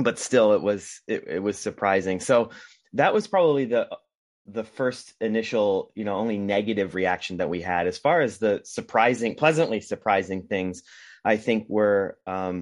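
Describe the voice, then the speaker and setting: A man with an American accent speaks in a normal speaking voice, fairly low in pitch, at a moderate pace. His pitch varies in an ordinary way against a quiet background. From US Northeast, Rhode Island. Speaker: documentary filmmaker. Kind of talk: casual interview.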